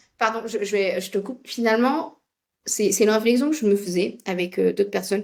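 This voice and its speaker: At a moderate speed, a woman talks with ordinary pitch variation. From India. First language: Tamil (speaking French). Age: 40s. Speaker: project management expert and coach. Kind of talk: casual chat.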